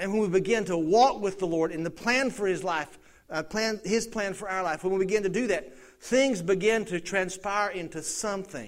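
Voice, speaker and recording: Speaking with an American accent at a moderate pace, a man uses a high pitch with ordinary variation. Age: 50s. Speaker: pastor. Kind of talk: sermon. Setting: church.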